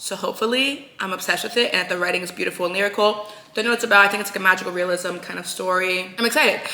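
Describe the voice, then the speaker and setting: Over noticeable background noise, a woman with a medium pitch talks in an animated tone with ordinary pitch variation. Her pace is very fast, with hardly any pauses. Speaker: book vlogger. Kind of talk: casual vlog talk. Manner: soft-spoken.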